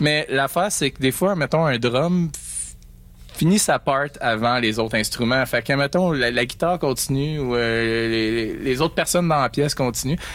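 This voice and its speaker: A man with a Quebec accent, fairly high pitch, ordinary pitch variation and a moderate pace. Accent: Québécois French. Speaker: singer and guitarist. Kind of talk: radio interview. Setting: radio studio. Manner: mumbling, doesn't articulate well; halting.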